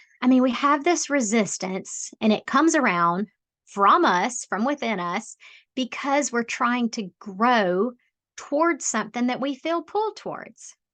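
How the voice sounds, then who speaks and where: A strong Southern US accent at a fairly slow pace, very wide pitch swings, dry, close sound with no echo and a quiet background. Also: woman, high pitch for a woman. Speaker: life coach, podcaster. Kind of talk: self-help podcast talk. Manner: casual, conversational.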